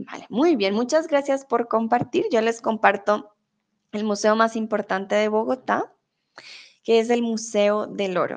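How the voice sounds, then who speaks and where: A woman talks at a fairly slow pace in a normal speaking voice. Her pitch is fairly high, with ordinary variation. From Colombia. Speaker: Spanish tutor. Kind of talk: live-stream lesson. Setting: live stream with chat.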